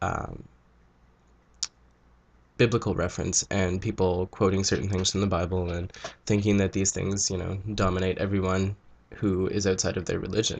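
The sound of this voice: At a moderate pace, a man with a low, nasal voice, slightly mellow tone and vocal fry speaks with little pitch movement and long, frequent pauses.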